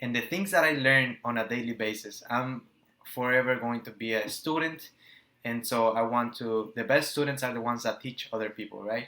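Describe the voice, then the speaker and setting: A man's medium-pitched voice with a Spanish accent. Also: ordinary pitch variation, moderate pace. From Nicaragua. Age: 20s. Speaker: entrepreneur and business coach. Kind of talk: motivational talk to camera. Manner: halting, stumbles over words.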